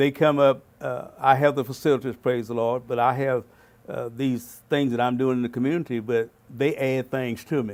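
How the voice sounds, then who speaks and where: At a moderate pace and a medium pitch, a man speaks in a Southern US accent with monotone, flat intonation. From Arkansas, Fort Smith. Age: 70s. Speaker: pastor and community mentor. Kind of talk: interview.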